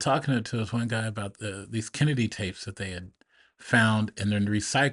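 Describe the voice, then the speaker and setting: Medium pitch and ordinary pitch variation mark this man's voice at a moderate pace. The background is quiet. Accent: Pacific Northwest. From Portland, Oregon. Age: 60s. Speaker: business owner and military veteran. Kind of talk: casual interview conversation.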